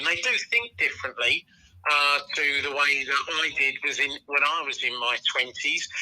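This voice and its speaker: A man keeps to a moderate pace while noticeable noise carries on in the background. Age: 60s. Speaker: football journalist. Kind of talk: podcast discussion.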